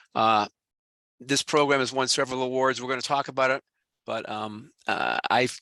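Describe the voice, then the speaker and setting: A man at medium pitch speaks at a fairly quick pace in a bright, sharp tone with monotone, flat intonation, the sound dry and close with no echo over a quiet background. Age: 60s. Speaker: financial educator, retired manager. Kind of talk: online presentation. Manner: casual, filler-heavy.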